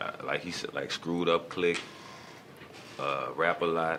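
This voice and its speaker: A man talks at a fairly slow pace in a very deep, low voice. Background noise is noticeable. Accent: New Orleans. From New Orleans, Louisiana. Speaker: rapper. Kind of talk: radio interview.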